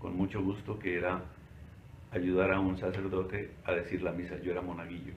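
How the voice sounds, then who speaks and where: Audible room echo surrounds a man who speaks fairly slowly in a very deep, low, somewhat breathy voice. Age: 60s. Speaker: retiree recounting working life. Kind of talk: oral history interview. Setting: recorded by his niece. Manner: halting with repetitions.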